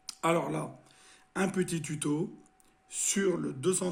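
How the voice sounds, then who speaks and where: Music plays in the background as a man speaks. His pace is very slow and his intonation fairly even. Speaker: RC hobbyist. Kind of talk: tutorial. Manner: halting, many filler sounds.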